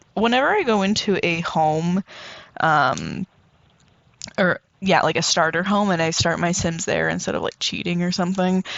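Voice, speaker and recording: A woman's voice with very even loudness and ordinary pitch variation, broken by long, frequent pauses. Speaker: Sims gaming YouTuber. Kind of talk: casual voice-over commentary on gameplay. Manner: fast; chatty, filler-heavy.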